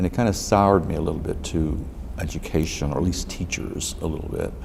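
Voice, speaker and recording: Talking very fast with an American accent, a man uses a very deep, low voice with ordinary pitch variation, amid audible room echo and noticeable background noise. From Texas, Dallas. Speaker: lawyer. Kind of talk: oral history interview. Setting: library room. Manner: halting.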